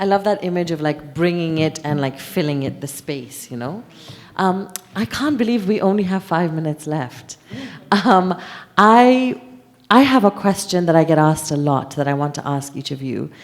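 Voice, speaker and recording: Speaking at a moderate pace with lively intonation, the voice comes through over noticeable background noise. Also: woman, fairly low pitch for a woman. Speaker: festival session moderator. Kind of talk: panel discussion.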